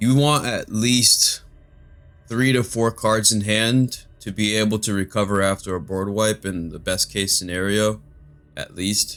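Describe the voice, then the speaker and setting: With music in the background, a man talks at a fairly slow pace in a fairly low pitch and fairly even intonation. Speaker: magic card game youtuber. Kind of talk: gameplay commentary. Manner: monotone.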